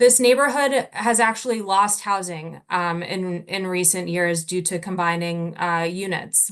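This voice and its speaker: With an American accent, a woman has an unremarkable speaking voice at medium pitch, ordinary pitch variation and a fairly slow pace, using hardly any pauses against a quiet background. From New Jersey. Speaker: local resident speaking at public hearing. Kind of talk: public comment.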